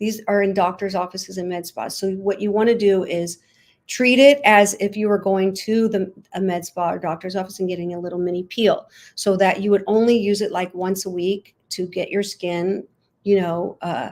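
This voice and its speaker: In an American accent, a woman talks at a moderate pace with medium pitch and fairly even intonation, an ordinary speaking voice. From US Midwest, St. Louis, Missouri. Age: 60s. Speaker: dancer and skincare entrepreneur. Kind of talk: interview conversation.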